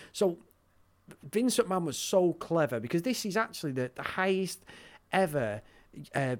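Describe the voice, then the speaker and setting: The speaker is a man with a northern English accent. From northern England. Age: 40s. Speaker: wrestling podcaster. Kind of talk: casual chat. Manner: animated.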